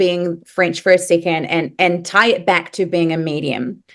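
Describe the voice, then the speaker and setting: A woman speaks at a medium pitch with a New Zealand accent against a quiet background. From New Zealand (moved from Paris at nine). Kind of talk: podcast interview.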